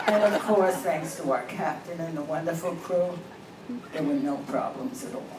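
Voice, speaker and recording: With lively intonation and a fairly low pitch, a woman speaks at a moderate pace amid audible room echo and noticeable background noise. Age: 80s+. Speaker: amateur comedian. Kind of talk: stand-up.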